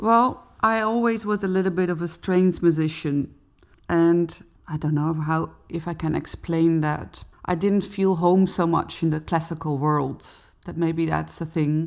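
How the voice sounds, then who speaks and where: In a Dutch accent, a woman talks fairly slowly at a fairly low pitch with ordinary variation, on a very clean recording with a silent background. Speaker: cellist and singer. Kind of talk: interview conversation.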